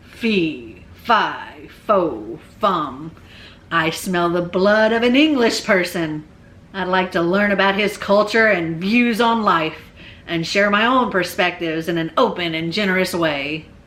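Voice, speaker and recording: A booming, put-on character voice comes through. It moves at a fairly slow pace. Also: woman, medium pitch for a woman. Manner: booming, comically polite.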